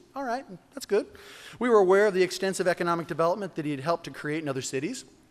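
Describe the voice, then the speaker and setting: A man speaks with a high voice that swings very widely in pitch. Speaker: mayor. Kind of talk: speech. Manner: fast; animated.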